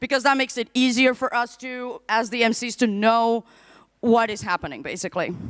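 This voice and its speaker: Loud and animated, a woman with a non-native accent comes through in a dry, close sound with no echo. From Portugal. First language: not English. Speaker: conference MC. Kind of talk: live event hosting. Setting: stage with audience.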